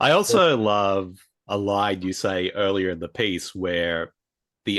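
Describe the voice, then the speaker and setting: Against a quiet background, a man speaks in a fairly low voice with an Australian accent. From rural New South Wales, Australia. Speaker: podcast host. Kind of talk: interview.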